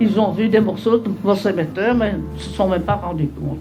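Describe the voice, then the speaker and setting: Over music in the background and with audible room echo, a woman speaks at a medium pitch and a fairly slow pace, her pitch swinging very widely. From Belgium, Brussels. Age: 80s+. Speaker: war veteran. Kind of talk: testimony. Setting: school talk.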